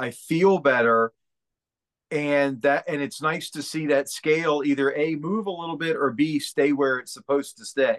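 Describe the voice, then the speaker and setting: A man talks in a normal speaking voice, fairly high in pitch, at a moderate pace. The sound is dry and close, with no echo. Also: ordinary pitch variation. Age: 50s. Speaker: real estate agent and motivational speaker. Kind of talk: casual interview.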